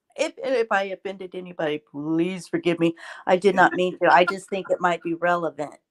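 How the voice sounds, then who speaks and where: A plain, everyday voice moves at a fairly quick pace with fairly even intonation. The sound is dry and close with no echo, on a very clean recording with a silent background. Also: woman, medium pitch for a woman. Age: 60s. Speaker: livestream guest. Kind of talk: casual livestream chat.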